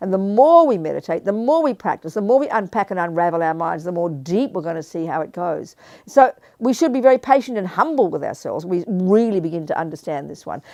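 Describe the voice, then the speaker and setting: Fairly quick speech in an Australian accent, a dark, mellow tone with very wide pitch swings, over a quiet background. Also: woman. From Australia (Melbourne). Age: 70s. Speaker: Buddhist nun and teacher. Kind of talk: dharma talk with Q&A. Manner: animated.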